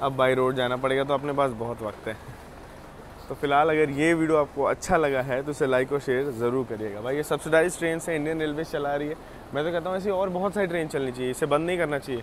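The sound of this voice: This man talks fast, his pitch fairly high and its variation ordinary.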